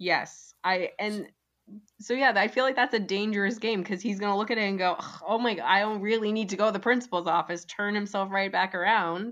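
On a very clean recording with a silent background, a woman with an unremarkable speaking voice talks at a fairly quick pace, her medium pitch held in fairly even intonation. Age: 30s. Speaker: podcaster guest. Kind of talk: casual chat.

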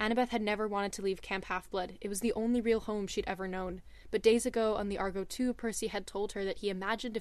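A natural reading voice is what this recording offers.

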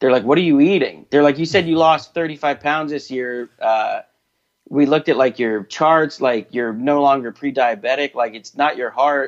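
Speaking at a moderate pace in a normal speaking voice, a man uses a fairly high pitch with ordinary pitch variation. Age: 30s. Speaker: comedian and podcast host. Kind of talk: casual chat.

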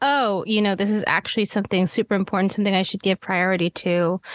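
A woman's normal speaking voice at a medium pitch, fairly quick in pace, with fairly even intonation. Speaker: podcast co-host, cinematographer. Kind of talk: podcast interview.

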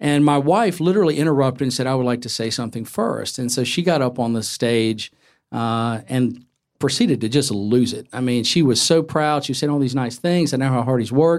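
A man with an American accent and a plain, everyday voice speaks at fairly high pitch and a fairly quick pace, with ordinary pitch variation, in a very clean recording over a silent background. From North Carolina. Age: 50s. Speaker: novelist. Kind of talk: live conversation before a bookstore audience. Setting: bookstore event with audience.

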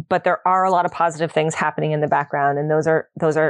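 Her voice fairly low in pitch, a woman speaks with fairly even intonation in a dry, close sound with no echo. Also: quiet background. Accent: Canadian. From Ontario, Canada. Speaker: associate professor, ocean governance researcher. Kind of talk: interview.

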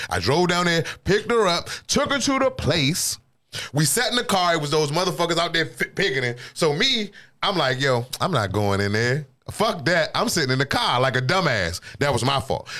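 Speaking with an American accent, a man uses vocal fry at a moderate pace. His pitch swings very widely. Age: 40s. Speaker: podcast host. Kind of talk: casual chat.

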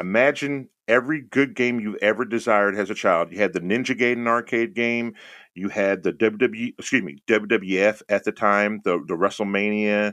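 A man's fairly low, normal speaking voice at a moderate pace, with ordinary pitch variation and a quiet background. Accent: American. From Texas (Houston). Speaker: streamer. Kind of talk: casual chat.

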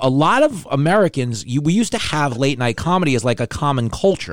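In a New York accent, a man talks at a fairly quick pace with very wide pitch swings. His voice sits fairly high. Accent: New York, mook. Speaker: podcast host and TV writer. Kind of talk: casual comedic chat. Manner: loud, animated.

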